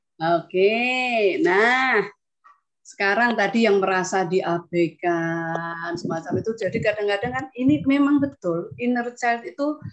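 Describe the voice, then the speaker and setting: This woman speaks at a fairly slow pace in a medium pitch. Her intonation is lively. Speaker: meditation instructor. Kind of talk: online group session. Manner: soft-spoken. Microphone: too quiet.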